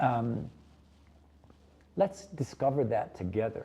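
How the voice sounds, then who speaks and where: Speaking at a very slow pace with lively intonation, a man with an American accent has a dark, mellow, somewhat breathy tone. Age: 70s. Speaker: chef. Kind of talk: interview.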